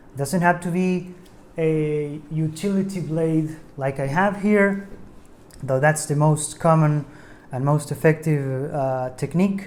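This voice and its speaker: At a very slow pace, the speaker talks with a non-native accent. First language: not English. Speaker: DIY tutorial maker. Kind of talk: tutorial. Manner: hesitant, many fillers.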